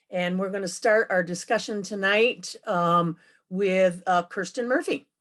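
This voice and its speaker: A woman with an ordinary speaking voice, medium pitch, ordinary pitch variation and a fairly slow pace. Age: 60s. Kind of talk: event moderation. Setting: video call.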